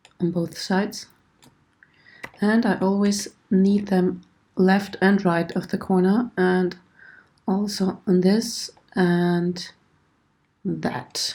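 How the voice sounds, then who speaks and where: A woman's somewhat breathy voice with a dark, mellow tone, ordinary pitch variation and a very slow pace. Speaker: 3D modelling tutor. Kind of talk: tutorial. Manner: hesitant, many fillers.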